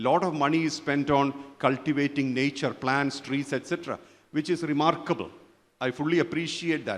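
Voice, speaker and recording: A man talks at a moderate pace. He has an ordinary speaking voice, pitched fairly high. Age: 60s. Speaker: spiritual teacher. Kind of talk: conference talk.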